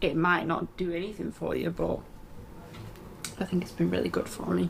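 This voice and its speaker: Over noticeable background noise, a woman talks with a northern English accent. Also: moderate pace. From England. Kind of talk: casual podcast conversation.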